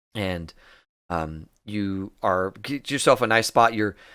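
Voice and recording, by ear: Someone reads aloud in a natural voice. The pitch varies in an ordinary way over a quiet background.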